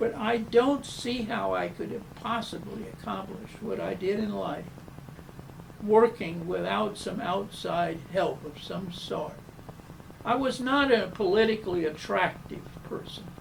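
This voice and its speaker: A man speaks with an American accent over noticeable background noise, with audible echo in the room. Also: fairly slow pace, big swings in loudness. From US South. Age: 90s. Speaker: architect. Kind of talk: interview. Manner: halting.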